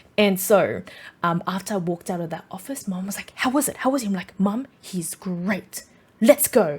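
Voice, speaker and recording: An Australian-accented woman at medium pitch, lively in intonation and animated in tone, with big swings in loudness and a moderate pace. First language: Vietnamese. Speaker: podcast host. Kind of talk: personal storytelling. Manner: casual, many fillers.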